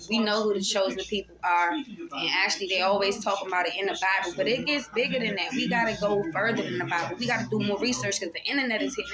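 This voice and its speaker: A woman talks at a medium pitch, very fast, with lively intonation. Noticeable background noise can be heard. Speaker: tarot reader. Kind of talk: spiritual monologue. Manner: soft-spoken; casual, profane, free-flowing.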